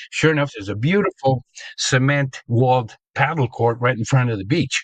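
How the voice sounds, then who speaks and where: The speech comes at a moderate pace, somewhat breathy, with a dry, close sound and no echo. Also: man, medium pitch for a man, ordinary pitch variation. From Argentina, Buenos Aires suburb. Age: 70s. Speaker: sports pioneer and promoter. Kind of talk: interview storytelling. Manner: hesitant, many fillers.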